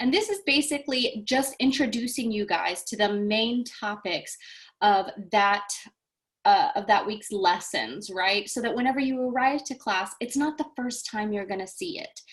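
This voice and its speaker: With lively intonation, a woman talks at a high pitch. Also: moderate pace. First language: Japanese and Portuguese. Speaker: language teacher. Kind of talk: welcome video. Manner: animated.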